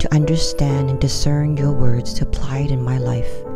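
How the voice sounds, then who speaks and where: A woman's very deep, low voice at a moderate pace with ordinary pitch variation, music playing in the background. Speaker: Bible reader, devotional narrator. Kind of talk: spoken opening prayer.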